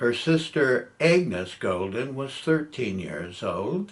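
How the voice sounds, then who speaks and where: In an American accent, a man speaks at a very slow pace. His pitch swings are very wide. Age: 70s. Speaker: family historian. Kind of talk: reading aloud.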